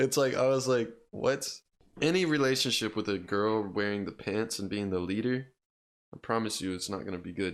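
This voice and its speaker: In a very clean recording with a silent background, a man with a normal speaking voice talks at a fairly quick pace, fairly low in pitch and with ordinary pitch variation. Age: 20s. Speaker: podcast host. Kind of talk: casual chat.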